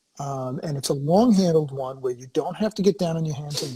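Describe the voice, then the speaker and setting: Somewhat breathy and dark, mellow in tone, a man with an American accent speaks at a fairly high pitch and fairly quick pace with ordinary pitch variation. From Massachusetts, US. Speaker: podcast host. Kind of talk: casual chat.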